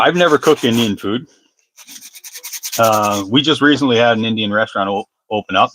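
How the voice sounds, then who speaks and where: A man with an Ontario accent talks at a fairly quick pace in a bright, sharp tone, leaving long, frequent pauses. The sound is dry and close, with no echo. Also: medium pitch for a man, ordinary pitch variation. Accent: Canadian (Ontario). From Northern Ontario, Canada (near North Bay). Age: 40s. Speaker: fishing livestreamer making lures. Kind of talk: casual livestream chat with viewers.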